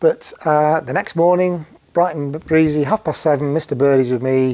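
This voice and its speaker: Speaking at a fairly slow pace in a Yorkshire accent, a man has a fairly high pitch and a dark, mellow tone. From northern England, Sheffield. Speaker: heart surgery patient. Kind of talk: personal testimony. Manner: halting, many fillers.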